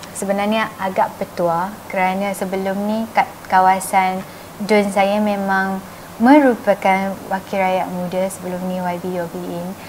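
A woman speaks in a gentle, monotone, flat way at a medium pitch and a fairly slow pace, with light background noise. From Malaysia. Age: 30s. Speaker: state assembly member; interviewee. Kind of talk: interview. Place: shop.

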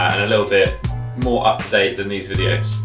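Clear music plays in the background. A man with a fairly low pitch talks at a very fast pace. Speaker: fitness coach. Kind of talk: tutorial.

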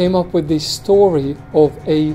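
A man's fairly high voice with fairly even intonation over faint music in the background. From Bosnia. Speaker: war and concentration camp survivor. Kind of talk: interview answer. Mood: serious, reflective. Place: office.

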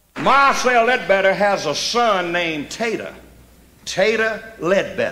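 Over light background noise, a raised, projected voice moves at a very slow pace. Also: man. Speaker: stand-up comedian storyteller. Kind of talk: live stand-up comedy storytelling. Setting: live stage with audience. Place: stage.

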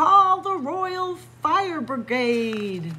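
Using a put-on character voice, a woman speaks at a high pitch over clear background noise. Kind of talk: read-aloud storytelling. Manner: desperate, pleading.

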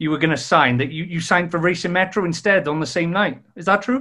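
Against a quiet background, a man speaks in a bright, sharp tone. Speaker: sports podcast host. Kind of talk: casual interview. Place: home room. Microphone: webcam.

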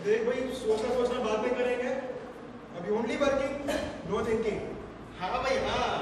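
With strong room echo and noticeable background noise, a man speaks at an extremely high pitch. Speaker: skit actor playing the stressful inner voice. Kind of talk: theatrical skit dialogue. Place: hall.

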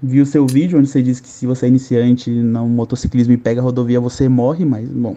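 Man at medium pitch, fairly quick pace, monotone and flat intonation. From São Paulo state, Brazil (São Bernardo do Campo); São Paulo, Brazil. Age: 20s. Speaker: caller. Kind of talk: live call-in question. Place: home room.

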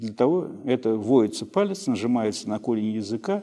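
Over a quiet background, a man with a dark, mellow tone speaks with lively intonation. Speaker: pediatrician. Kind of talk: expert advice interview. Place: office.

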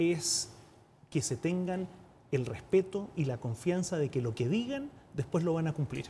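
Over light background noise, a man with a fairly high pitch and a dark, mellow tone talks at a fairly slow pace, his pitch swinging very widely. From Chile. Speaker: UN representative, former politician; former politician. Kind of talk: TV interview. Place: studio. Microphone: lapel.

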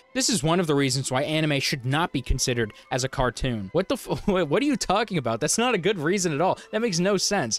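Over faint background music, a man speaks at a very fast pace, the sound dry with no echo. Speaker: commentary youtuber. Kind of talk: commentary. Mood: sarcastic, incredulous. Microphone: handheld.

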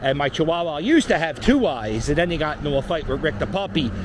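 Over noticeable background noise, a man with a Philadelphia accent talks at a fairly high pitch in a dry sound with no echo. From Philadelphia (Port Richmond). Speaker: YouTuber / street vlogger. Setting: outdoors, walking a dog. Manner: rambling, filler-heavy (um, uh), self-correcting. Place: street. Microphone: phone near.

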